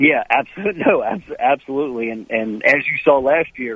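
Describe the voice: A man at medium pitch with a slightly husky edge talks at a fairly quick pace, the sound dry and close with no echo.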